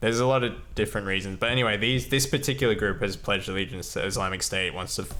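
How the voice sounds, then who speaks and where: Loud and bright with a sharp tone, the voice races at a very fast pace with hardly any pauses, ordinary pitch variation, and audible room echo. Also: man, fairly low pitch for a man. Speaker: podcast co-host. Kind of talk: casual discussion. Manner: hesitant, many fillers.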